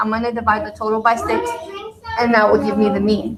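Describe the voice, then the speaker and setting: Over noticeable background noise, a woman talks in a fairly high pitch. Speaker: math teacher. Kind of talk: tutorial.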